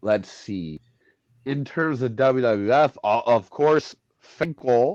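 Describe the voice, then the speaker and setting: A man at a medium pitch talks very slowly with lively intonation, the sound dry and close with no echo. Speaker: wrestling ring announcer. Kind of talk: casual interview chat. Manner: casual, filler-heavy.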